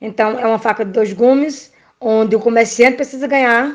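This woman has a plain, everyday voice with a fairly high pitch. Her intonation stays fairly even at a moderate pace. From Brazil, Pernambuco backcountry. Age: 30s. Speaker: nursing technician. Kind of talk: interview. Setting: remote call.

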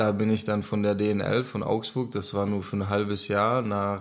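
Speaking with a Czech accent, a man talks at a fairly slow pace in a fairly low pitch. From Czech Republic, near Olomouc. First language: Czech (speaking German). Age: 20s. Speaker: ice hockey player. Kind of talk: interview.

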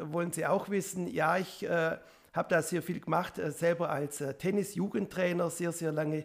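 A man talks fairly fast in a high voice, his intonation staying mostly flat. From Upper Swabia, Biberach district. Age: 50s. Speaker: state politician. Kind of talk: self-introduction.

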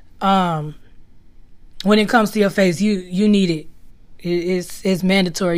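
At a moderate pace, a woman talks with a medium pitch and fairly even intonation. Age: 20s. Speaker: podcast host. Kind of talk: casual monologue.

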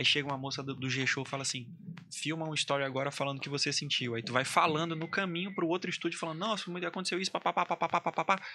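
Very fast speech from a man at a fairly high pitch, with ordinary pitch variation and music in the background. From Amazonas, Brazil (Maués area). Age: 30s. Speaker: singer, army doctor. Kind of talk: casual chat. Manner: animated.

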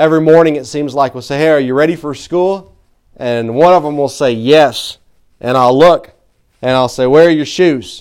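Speaking at a moderate pace with a Southern US accent, a man uses a fairly high pitch and ordinary pitch variation. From Tennessee. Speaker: pastor. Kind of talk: sermon. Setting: church. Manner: halting.

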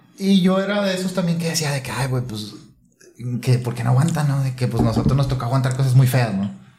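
Lively intonation and a very fast pace mark this voice, heard with audible room echo and noticeable background noise. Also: man, medium pitch for a man. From Santiago, Nuevo León, Mexico. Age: 30s. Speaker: cooking YouTuber. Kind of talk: casual chat.

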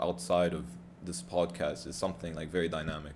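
Talking at a fairly quick pace, a man with an American accent has a very deep, low pitch and vocal fry. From US South, Atlanta. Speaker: podcast co-host. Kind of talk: casual chat.

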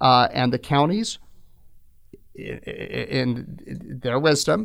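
With vocal fry and lively intonation, a man speaks in a General American accent. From Phoenix, Arizona. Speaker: attorney and political activist. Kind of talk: interview.

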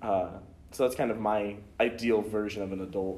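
A man's fairly low, monotone voice with flat intonation at a moderate pace, with audible room echo. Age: 20s. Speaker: college student. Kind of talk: interview.

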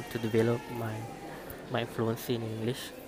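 A man with a Malaysian accent, medium pitch, flat monotone delivery and moderate pace, over noticeable background noise. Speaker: podcaster. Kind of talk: casual monologue on learning English. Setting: noisy surroundings. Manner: halting, many repetitions.

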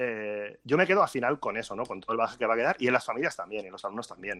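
A man's medium pitch shows ordinary pitch variation as he rushes along at a very fast pace. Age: 30s. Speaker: school director of studies. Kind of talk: interview on a live stream.

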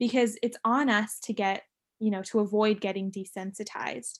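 A woman with a normal speaking voice, a fairly high pitch and fairly even intonation is heard in a very clean recording with a silent background. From San Diego, California. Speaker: student podcast co-host. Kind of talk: casual chat.

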